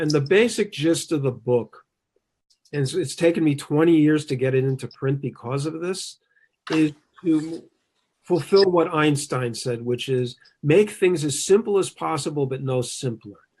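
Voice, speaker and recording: A man talks at a moderate pace in a fairly high, somewhat breathy voice with ordinary pitch variation. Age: 60s. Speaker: Chinese medicine teacher and author. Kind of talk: interview. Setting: video webcast.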